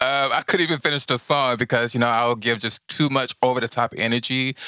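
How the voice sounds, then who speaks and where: A bright, sharp tone at a fairly quick pace, in a very clean, dry and close recording with a silent background and no echo. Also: man. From Houston, Texas. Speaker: recording and performing artist. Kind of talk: casual interview. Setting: Instagram Live stream.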